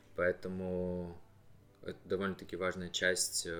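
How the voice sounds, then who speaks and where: The man speaks at a fairly slow pace. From Novosibirsk, Akademgorodok (Russia). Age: 20s. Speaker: student. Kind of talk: interview.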